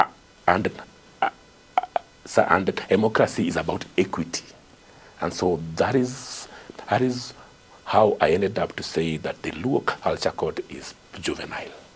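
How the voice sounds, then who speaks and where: Noticeable background noise is present. Against it, a man talks fairly slowly. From Kenya. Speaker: hydrogeologist and author. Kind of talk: interview answer.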